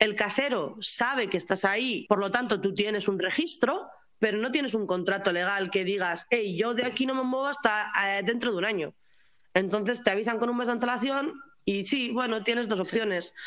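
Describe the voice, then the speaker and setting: A woman's fairly high voice at a moderate pace, with ordinary pitch variation and a normal speaking voice. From Spain. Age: 20s. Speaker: pastry chef and expat. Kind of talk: interview.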